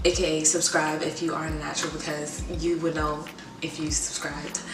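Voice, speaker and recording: Music plays behind a woman talking at a fairly quick pace. The room echo is audible. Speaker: hair care vlogger. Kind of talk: tutorial. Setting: dorm room at school. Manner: whispering, soft; casual, filler-heavy.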